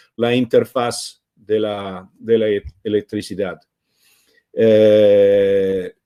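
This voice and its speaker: A man with an Italian accent, fairly low pitch, dark, mellow tone, flat monotone intonation, and a very slow pace, in a dry, close sound with no echo. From Italy. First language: Italian (speaking Spanish). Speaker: open-source foundation co-founder, speaker. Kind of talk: online talk presentation. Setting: live stream. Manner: halting, many hesitations.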